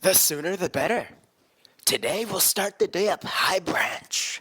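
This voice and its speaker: A put-on character voice at a middle pitch and moderate pace. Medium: audio drama. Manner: playful, upbeat.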